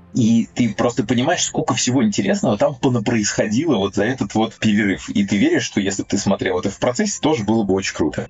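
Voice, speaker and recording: Over noticeable background noise, a man with a medium-pitched voice races along at a very fast pace with hardly any pauses. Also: ordinary pitch variation. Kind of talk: casual chat. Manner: animated.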